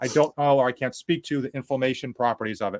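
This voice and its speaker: A man with a Boston accent talks very fast in an animated tone, in a dry, close sound with no echo and a very clean recording with a silent background. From Boston area, New England. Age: 40s. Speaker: fitness youtuber. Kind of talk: casual livestream interview chat. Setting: livestream.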